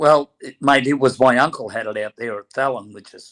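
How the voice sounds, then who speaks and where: A man with a strong Australian accent at a moderate pace, fairly even intonation, and a dry, close sound with no echo. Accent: broad Australian. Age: 70s. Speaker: former boxer and horse trainer. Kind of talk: casual interview chat.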